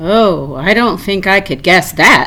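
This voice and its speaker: Using a put-on character voice, a woman at a medium pitch speaks at a fairly slow pace over light background noise. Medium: read story. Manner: warm, gentle, affectionate.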